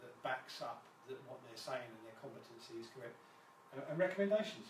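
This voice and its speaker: A medium-pitched man with a British accent, amid noticeable background noise and audible room echo. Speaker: fire and security business owner. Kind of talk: live presentation. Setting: Facebook live stream. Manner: fast; halting, many fillers and repetitions.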